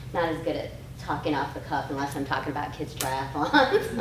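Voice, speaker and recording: With an American accent, a woman speaks at a moderate pace amid noticeable background noise and audible room echo. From Michigan (Durand). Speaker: pediatrician. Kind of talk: prepared town hall speech.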